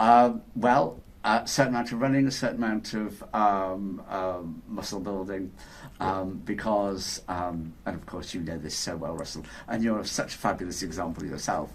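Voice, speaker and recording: A man speaks in a fairly low pitch, with audible room echo. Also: ordinary pitch variation, moderate pace. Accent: Yorkshire. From Yorkshire, northern England. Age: 60s. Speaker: inventor. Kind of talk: interview. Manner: hesitant, many repetitions and fillers.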